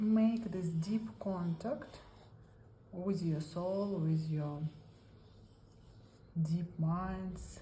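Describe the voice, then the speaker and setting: Speaking very slowly with a Russian accent, a woman sounds somewhat breathy, with lively intonation and audible echo from the room. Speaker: art therapy instructor. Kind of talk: tutorial. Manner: halting non-native English.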